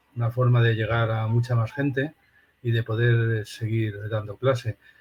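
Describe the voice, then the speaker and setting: A man's somewhat breathy voice, fairly slow in pace, with monotone, flat intonation. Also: medium pitch for a man. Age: 60s. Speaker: philosophy professor. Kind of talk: interview.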